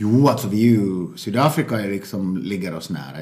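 Very deep, low-pitched male speech at a fairly quick pace, with noticeable background noise and audible room echo. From Finland (Finland-Swedish). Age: 40s. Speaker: stand-up comedian and adoptive father. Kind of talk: casual interview. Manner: halting, repetitive.

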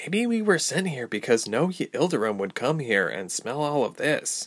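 In a put-on character voice, a man speaks with fairly high pitch and very wide pitch swings. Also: moderate pace. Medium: read story. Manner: muttering, rude.

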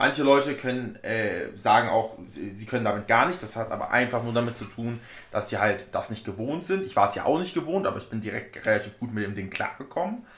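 A man with an ordinary speaking voice talks at a fairly quick pace with medium pitch, lively intonation and hardly any pauses. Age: 20s. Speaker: powerlifter. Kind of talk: casual chat.

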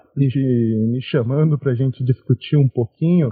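A man's unremarkable speaking voice with ordinary pitch variation. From São Paulo interior, Brazil. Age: 20s. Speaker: podcast host, history graduate. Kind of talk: casual discussion.

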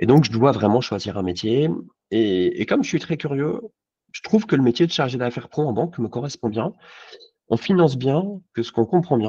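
A man's dark, mellow voice at medium pitch and fairly quick pace, very wide pitch swings and long, frequent pauses. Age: 40s. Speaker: insurance agent. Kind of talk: casual interview.

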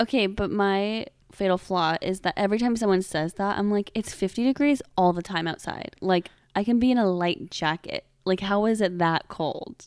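On a very clean recording with a silent background, a woman talks at a medium pitch with ordinary pitch variation. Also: moderate pace, dry, close sound with no echo. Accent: American. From Seattle, US Pacific Northwest. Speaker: podcast co-host. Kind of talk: storytelling chat. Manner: animated.

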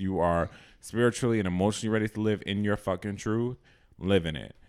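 This is a man with an American accent. He uses a normal speaking voice at a fairly quick pace. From Boston. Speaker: podcast host. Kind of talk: casual chat.

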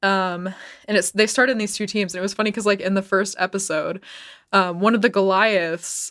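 A woman's voice at a medium pitch. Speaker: podcast co-host. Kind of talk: casual chat. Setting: remote call over internet.

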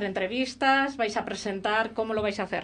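This woman has a normal speaking voice and talks at a moderate pace. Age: 50s. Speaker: radio host. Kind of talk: casual chat.

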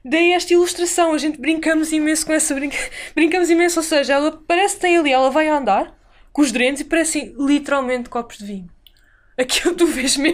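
At a very fast pace, a woman talks in a high pitch with ordinary pitch variation. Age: 20s. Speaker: illustrator and animation student. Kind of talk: casual interview.

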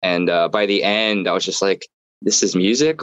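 At a moderate pace, a man with an American accent and a fairly low pitch talks in a normal speaking voice. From US Northeast, southern New Jersey. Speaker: musician. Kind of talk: casual chat.

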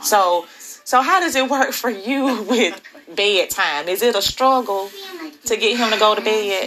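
Over background music, a woman speaks at a fairly slow pace. Her voice is fairly high in pitch, with lively intonation. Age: 40s. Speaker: podcast host. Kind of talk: casual chat.

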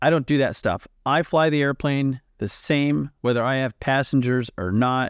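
A man with an American accent has an ordinary speaking voice, medium in pitch with ordinary pitch variation, at a moderate pace with hardly any pauses. The sound is dry and close with no echo, on a very clean recording with a silent background. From United States. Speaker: corporate pilot, podcast co-host. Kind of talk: casual chat.

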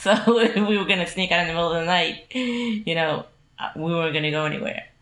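Over noticeable background noise, a woman speaks very fast in a fairly low pitch, with lively intonation. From Caribbean. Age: 50s. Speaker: former program resident. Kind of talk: casual interview. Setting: at her home.

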